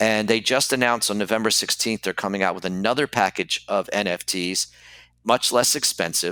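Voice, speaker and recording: A man's fairly low-pitched voice, bright and sharp in tone, at a fairly quick pace with ordinary pitch variation, dry and close with no echo in a very clean recording with a silent background. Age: 60s. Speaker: toy car collector. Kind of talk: interview.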